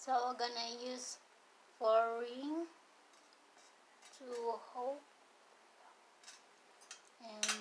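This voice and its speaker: A woman speaks at a very slow pace. Loud background noise runs behind her. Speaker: hobby vlogger. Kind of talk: casual vlog chat. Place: home room. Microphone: phone near.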